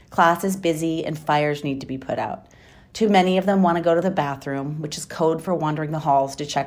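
A woman with an American accent has an ordinary speaking voice, fairly low in pitch. She speaks at a fairly quick pace with lively intonation. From Wisconsin. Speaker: high school teacher. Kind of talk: personal storytelling. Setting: recorded at home.

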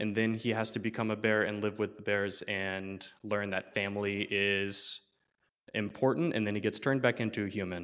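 A man with an American accent speaks in a plain, everyday voice at a moderate pace, fairly low in pitch with fairly even intonation, in a very clean recording with a silent background. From Central Florida. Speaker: bar manager and storyteller. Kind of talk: live storytelling. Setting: stage with audience.

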